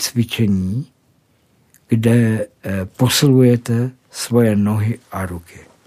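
A man's dark, mellow voice at medium pitch with ordinary pitch variation, on a very clean recording with a silent background. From South Moravia, Czechia. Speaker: formerly homeless man. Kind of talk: testimony. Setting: studio.

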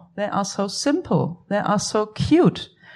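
Against a quiet background, a woman with a German accent speaks at a medium pitch with lively intonation and vocal fry. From Germany. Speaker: art historian. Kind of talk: panel discussion. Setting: cinema hall event with audience.

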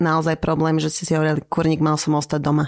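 The recording is very clean, with a silent background. A woman speaks very fast at a fairly low pitch. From Slovakia. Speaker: podcast co-host. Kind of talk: casual interview.

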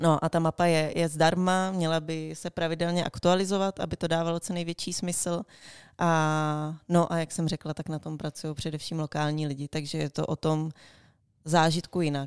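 A woman speaks at a moderate pace in a fairly low pitch with a monotone, flat intonation, on a very clean recording with a silent background. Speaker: university alumna, freelancer and traveller. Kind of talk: interview.

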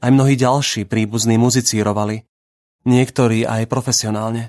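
A man's medium-pitched voice, monotone and flat, at a moderate pace with a dry, close sound and no echo. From Slovakia, Bratislava. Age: 30s. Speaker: writer. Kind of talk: personal essay read aloud.

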